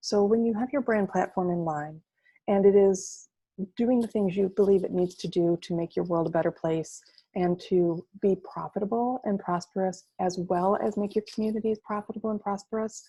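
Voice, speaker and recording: Against a quiet background, a woman speaks at a medium pitch with a dark, mellow tone and fairly even intonation. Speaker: marketing agency presenter. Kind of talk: webinar presentation. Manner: fast.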